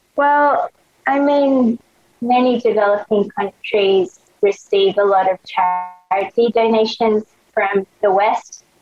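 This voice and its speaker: Recorded dry and close with no echo, a woman with an Australian accent talks at a medium pitch with ordinary pitch variation. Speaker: fashion blogger and clothing brand founder. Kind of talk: casual interview chat. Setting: video call. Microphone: crusty audio over video call.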